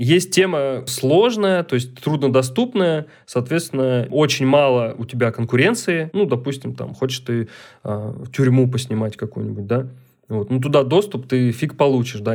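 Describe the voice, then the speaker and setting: This is an unremarkable speaking voice: a man at medium pitch, with ordinary pitch variation and a moderate pace, on a very clean recording with a silent background. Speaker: documentary photographer. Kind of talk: casual chat.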